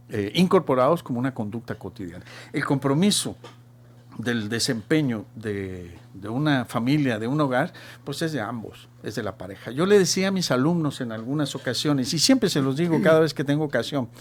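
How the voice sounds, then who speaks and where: Lively intonation marks a man's medium-pitched voice at a moderate pace in a very clean recording with a silent background. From Chile. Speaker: marketing professional and teacher. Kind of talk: radio talk show discussion. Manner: halting.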